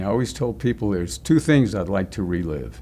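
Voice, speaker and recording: A man's fairly low voice at a moderate pace, with very wide pitch swings. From Newark, New Jersey. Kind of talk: interview answer.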